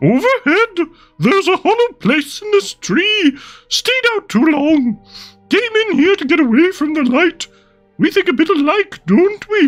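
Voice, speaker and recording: An extremely high put-on character voice speaks over faint music in the background. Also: moderate pace. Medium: read story. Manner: dry, sardonic.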